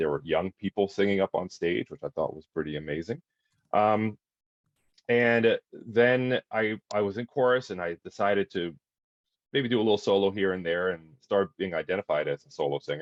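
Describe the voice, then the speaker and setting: Speaking at a fairly quick pace, a man with an American accent has a fairly low pitch and ordinary pitch variation. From Miami, Florida (born in Detroit). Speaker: opera singer. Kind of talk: talk to school pupils on webinar. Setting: video webinar. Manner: hesitant, many fillers.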